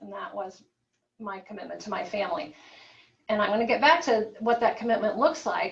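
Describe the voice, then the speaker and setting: A woman with an American accent, fairly high in pitch, at a fairly quick pace amid audible room echo. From US Midwest, Peoria, Illinois. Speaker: physician. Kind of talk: guest lecture. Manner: fast.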